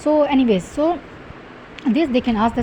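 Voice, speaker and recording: A high-pitched woman's voice at a fairly quick pace, with noticeable background noise. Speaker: medical exam tutor. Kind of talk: lecture. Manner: fast.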